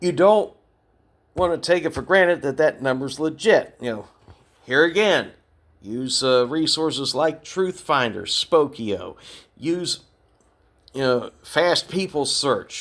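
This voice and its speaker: Over a very clean, silent background, a man with an American accent speaks at a fairly high pitch with lively intonation, very slowly and with long, frequent pauses. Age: 60s. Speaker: podcast host, retired navy veteran. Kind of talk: podcast monologue. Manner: conversational.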